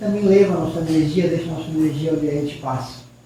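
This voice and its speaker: A male voice with audible room echo and noticeable background noise. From Peru. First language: Spanish (speaking Portuguese). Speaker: spiritist lecturer, professor. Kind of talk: spiritist lecture.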